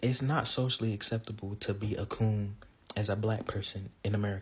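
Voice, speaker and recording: A somewhat breathy man speaks with a fairly low pitch. His pace is fairly quick. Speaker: content creator. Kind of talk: casual monologue to camera. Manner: casual, filler-heavy.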